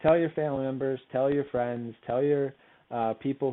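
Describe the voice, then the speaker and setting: Mumbling at a fairly quick pace, a man speaks in a medium pitch with monotone, flat intonation. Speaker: career services advisor. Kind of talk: recorded presentation on interviewing. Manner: fast.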